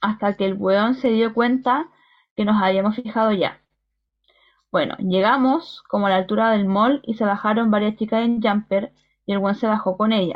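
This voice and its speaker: A woman speaks at a fairly high pitch. Her intonation is fairly even. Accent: Chilean. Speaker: podcast co-host. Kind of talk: casual chat.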